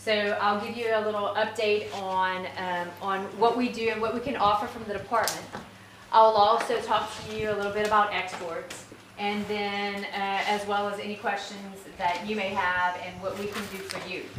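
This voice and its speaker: A woman speaks at a medium pitch with monotone, flat intonation. Audible room echo and noticeable background noise are present. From south Louisiana (Breaux Bridge, Cajun area). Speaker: agriculture department official. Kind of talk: conference presentation. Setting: workshop audience. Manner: fast.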